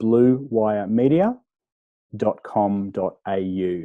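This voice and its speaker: A man speaks with an Australian accent. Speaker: podcast guest.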